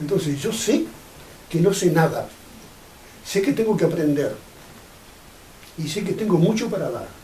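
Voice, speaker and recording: Audible room echo surrounds a man speaking at a fairly slow pace. His pitch is high, with ordinary variation. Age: 80s+. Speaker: pioneer of a UFO contact group. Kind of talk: interview.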